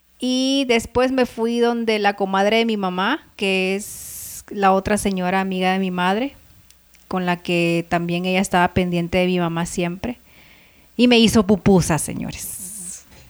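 This is an unremarkable speaking voice. It moves at a fairly slow pace with ordinary pitch variation. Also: woman, medium pitch for a woman. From El Salvador. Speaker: podcast co-host. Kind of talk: casual chat.

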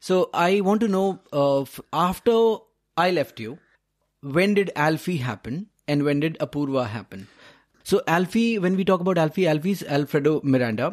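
With an unremarkable speaking voice, a man talks at a moderate pace using a fairly high pitch and lively intonation. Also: very clean recording, silent background. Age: 30s. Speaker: podcast host. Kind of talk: interview.

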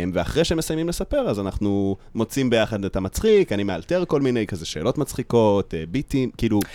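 Very wide pitch swings in a dark, mellow tone, with hardly any pauses. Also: man, medium pitch for a man, fairly quick pace, dry, close sound with no echo. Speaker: stand-up comedian and content creator. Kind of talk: casual chat. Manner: laughs a lot.

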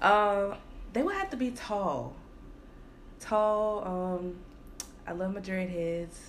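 A woman at medium pitch with ordinary pitch variation, a very slow pace, long frequent pauses, and audible room echo. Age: 20s. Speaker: podcast co-host. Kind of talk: casual chat. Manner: harsh tone.

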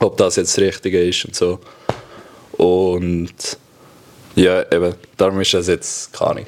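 A man speaks over noticeable background noise. His pauses are long and frequent. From Switzerland, Graubünden (Chur). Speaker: professional ice hockey player. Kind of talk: casual chat.

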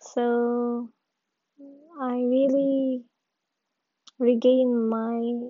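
A woman speaks in a high voice with a non-native accent. Her intonation stays flat and monotone. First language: not English. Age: 20s. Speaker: podcaster. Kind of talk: personal monologue. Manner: halting.

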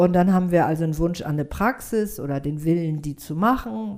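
A woman's plain, everyday voice at medium pitch, moderate in pace, with lively intonation. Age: 60s. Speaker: yoga teacher and psychotherapist. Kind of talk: casual interview chat.

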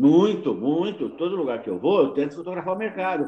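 A man with vocal fry and a dark, mellow tone speaks at a moderate pace. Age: 60s. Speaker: amateur photographer. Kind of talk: interview.

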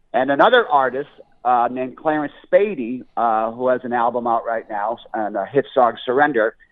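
A man speaks with a Northeastern US accent. His pace is moderate. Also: medium pitch for a man, ordinary pitch variation. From Scranton, Pennsylvania. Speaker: blues musician and comedian. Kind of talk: interview. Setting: phone call.

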